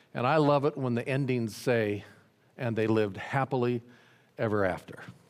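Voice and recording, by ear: The pitch moves in an ordinary way. Someone is reading aloud in a natural voice.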